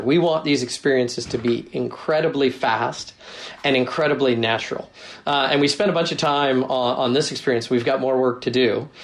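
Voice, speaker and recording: With an ordinary speaking voice, a man talks at a fairly quick pace and a fairly high pitch. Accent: General American. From US Northwest, Seattle. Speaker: tech company product executive. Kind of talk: interview.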